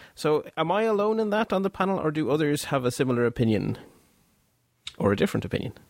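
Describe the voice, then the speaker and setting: A man talks at a very fast pace, with long, frequent pauses. His pitch swings very widely while his loudness stays very even. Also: fairly high pitch for a man. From Belgium. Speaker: podcast host. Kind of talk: casual chat.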